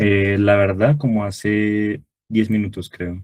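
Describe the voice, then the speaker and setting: A man with a fairly low pitch. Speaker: tutor. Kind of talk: online review class. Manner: fast.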